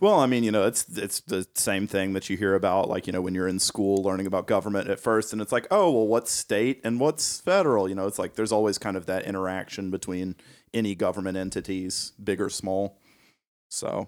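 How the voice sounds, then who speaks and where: This man has a normal speaking voice, with a fairly low pitch and fairly even intonation at a fairly quick pace. The recording is very clean, with a silent background. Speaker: podcast co-host. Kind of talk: casual interview.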